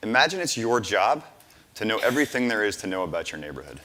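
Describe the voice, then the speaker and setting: The voice is bright and sharp, with vocal fry. Intonation is lively and the pace fairly quick. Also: man. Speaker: startup founder pitching. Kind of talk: pitch presentation. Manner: fast.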